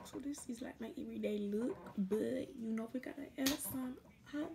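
A woman talks at a moderate pace with noticeable background noise present. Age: 20s. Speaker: beauty vlogger. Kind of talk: casual chat. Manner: casual and chatty. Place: home room. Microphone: phone near.

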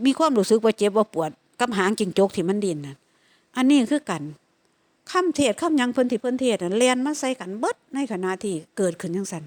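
In an Isan accent, a woman speaks with very wide pitch swings. The sound is dry and close, with no echo. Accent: Isan (Lao) accented Thai. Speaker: Buddhist meditation practitioner. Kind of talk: dharma talk.

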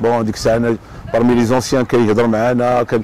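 Dry with no echo, a man's voice moves at a fairly quick pace. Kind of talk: interview answer. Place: waterside. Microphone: lapel.

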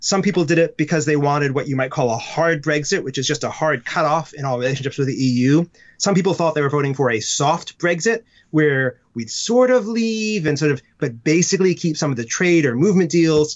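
With an American accent and an ordinary speaking voice, a man speaks at a fairly high pitch with lively intonation. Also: fairly quick pace. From United States. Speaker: comedy writer and children's book author. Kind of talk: casual interview.

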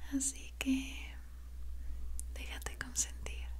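A soft-spoken, soothing woman's voice, very deep and low, monotone and flat, very slow, with light background noise. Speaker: relaxation video creator. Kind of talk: soft relaxing roleplay talk. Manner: soft, hushed, soothing voice. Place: home room.

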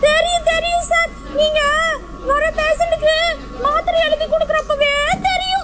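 A cartoonish character voice, female-sounding and extremely high-pitched, moves at a fairly slow pace over noticeable background noise. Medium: puppet.

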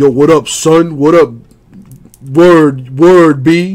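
A man does a put-on character voice in a New York accent, pitched fairly high. His intonation stays fairly even and his pace is very slow. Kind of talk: slangy street talk.

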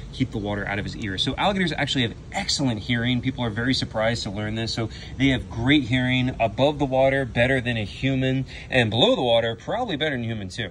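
A very fast-paced man with ordinary pitch variation over light background noise. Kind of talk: casual educational commentary. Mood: enthusiastic, delighted. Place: waterside. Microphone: phone near.

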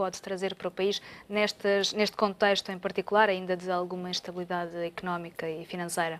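The woman's intonation stays fairly even. She talks at a moderate pace. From Portugal. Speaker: TV show host. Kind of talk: moderated TV debate. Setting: studio. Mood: calm, polite, professional. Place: studio. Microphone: lapel.

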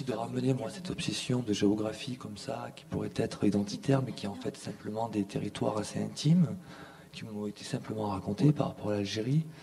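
A man talks at a fairly quick pace, his loudness swinging widely over noticeable background noise. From southern France, Montpellier. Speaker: artist and filmmaker. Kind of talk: conference talk. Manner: halting.

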